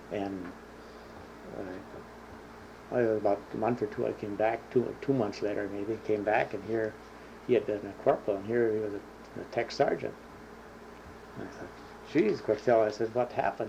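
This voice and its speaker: In an Upper Midwest accent, a man with a fairly low pitch speaks in a flat monotone at a moderate pace, with long, frequent pauses and big swings in loudness. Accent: Upper Midwest American. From Minnesota. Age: 60s. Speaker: war veteran. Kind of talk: oral history interview. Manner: halting.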